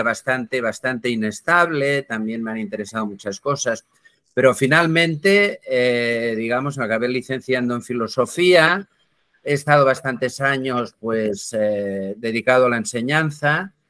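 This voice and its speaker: Speaking at a fairly slow pace, a man has a bright, sharp tone and medium pitch with ordinary variation, heard as a dry, close sound with no echo. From Barcelona, Catalonia. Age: 60s. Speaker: philosopher and writer. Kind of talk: interview conversation.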